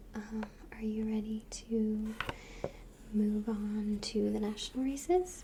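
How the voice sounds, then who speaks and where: Soft-spoken, the voice has a gentle tone and a very slow pace. Noticeable background noise runs underneath. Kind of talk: ASMR role play, soft-spoken talk to the listener. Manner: soft-spoken, gentle, friendly.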